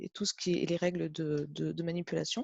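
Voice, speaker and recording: A woman speaks with a fairly low pitch. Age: 40s. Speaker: test technician. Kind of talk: interview testimony. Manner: hesitant, many fillers.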